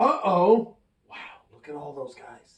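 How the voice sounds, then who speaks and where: A man does a put-on character voice, pitched high. He takes it at a fairly slow pace. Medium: read story. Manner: playful, excitable.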